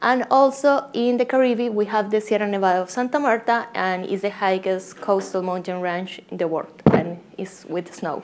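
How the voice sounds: With a Colombian accent, a woman talks with few pauses and fairly even intonation. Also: medium pitch for a woman, moderate pace.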